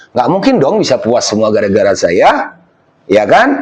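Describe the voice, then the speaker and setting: A man with a Lampung accent at a fairly quick pace. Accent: Lampung Indonesian accent, somewhat harsh. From Lampung, Indonesia. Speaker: village head. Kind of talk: documentary interview. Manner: forceful, emphatic.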